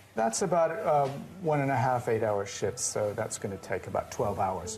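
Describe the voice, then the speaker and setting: A man speaks at a medium pitch and a moderate pace, his intonation lively, with music playing in the background. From Canada, Toronto. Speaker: baker, trained architect. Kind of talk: casual interview and demonstration.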